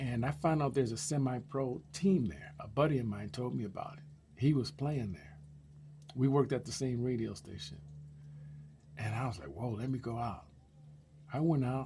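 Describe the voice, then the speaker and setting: With vocal fry and a dark, mellow tone, a man at medium pitch speaks at a moderate pace with very wide pitch swings and long, frequent pauses. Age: 60s. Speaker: YouTuber sharing life stories. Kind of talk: personal storytelling monologue. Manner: casual, animated.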